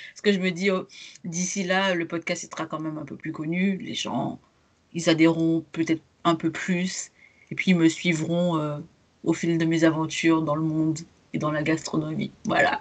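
A woman speaks at a moderate pace and fairly low pitch, in a monotone, flat intonation. Her delivery has long, frequent pauses and big swings in loudness. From Martinique. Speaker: podcast host, travel blogger. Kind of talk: casual interview chat.

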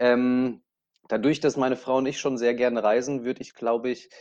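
Here is an unremarkable speaking voice from a man at medium pitch. He goes at a fairly quick pace over a quiet background. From Lower Franconia, Germany (Aschaffenburg). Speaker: motorsport events manager. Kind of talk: interview.

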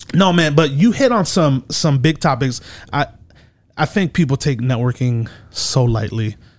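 Somewhat breathy and fairly high, a man's voice moves at a moderate pace with lively intonation. His loudness stays very even, on a very clean recording with a silent background. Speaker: podcast host. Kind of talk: casual chat.

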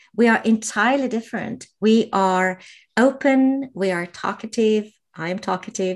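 A woman with a Slovenian accent speaks at a fairly high pitch. The recording is very clean, with a silent background. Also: ordinary pitch variation, moderate pace. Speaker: podcaster and life coach. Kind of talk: casual interview.

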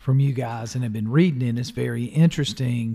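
In a Southern US accent, a man with a medium-pitched, somewhat breathy voice speaks with fairly even intonation. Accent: US South. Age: 50s. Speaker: podcast host and local politician. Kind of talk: interview. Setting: studio.

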